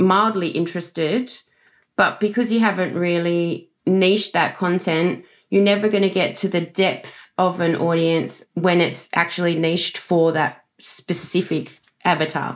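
A woman speaks at a fairly slow pace in an Australian accent. Her pitch is medium and her intonation fairly even. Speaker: social media marketer. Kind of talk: interview answers.

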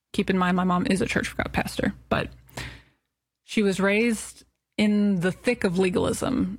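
A somewhat breathy woman of medium pitch at a moderate pace, in a very clean recording with a silent background. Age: 30s. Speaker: podcast host. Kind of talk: personal monologue.

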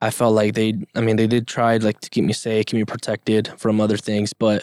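The recording is very clean, with a silent background and a dry, close sound with no echo. A man speaks in a flat monotone at a moderate pace. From Mexico, Yucatan (Progreso), moved to US at 5-6. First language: Spanish. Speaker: podcast guest. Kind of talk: casual interview. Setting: studio.

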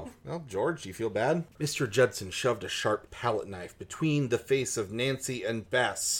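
The intonation here is lively. It comes from a natural reading voice.

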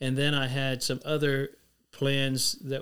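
This is a man with a Texan accent. His voice sits at medium pitch. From Texas, San Antonio. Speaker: former ministry staff member. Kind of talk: interview.

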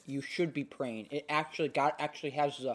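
In a put-on character voice with a low-to-middle pitch, the speaker mumbles at a fairly quick pace. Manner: mumbling.

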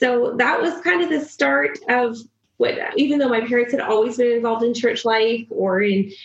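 A woman's fairly high pitch with a slightly husky edge and fairly even intonation. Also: moderate pace.

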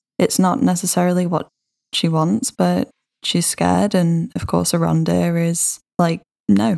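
The sound is dry and close, with no echo. A woman talks very slowly. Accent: British. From Britain. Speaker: podcast co-host. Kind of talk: casual chat.

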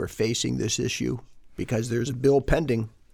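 A man speaks at medium pitch with vocal fry. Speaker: podcast co-host, lawyer. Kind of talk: casual interview.

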